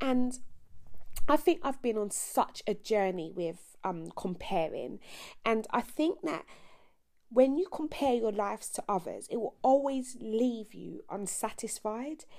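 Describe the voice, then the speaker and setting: A woman with a British accent, fairly high in pitch and dark, mellow in tone, with very wide pitch swings at a fairly slow pace. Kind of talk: casual devotional talk.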